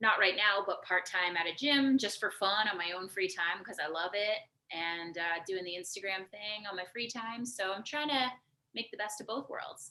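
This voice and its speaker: A woman with a Canadian accent has an ordinary speaking voice, medium pitch, ordinary pitch variation and a moderate pace. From Canada. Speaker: marketing professional and fitness influencer. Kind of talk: casual podcast interview. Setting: live video stream.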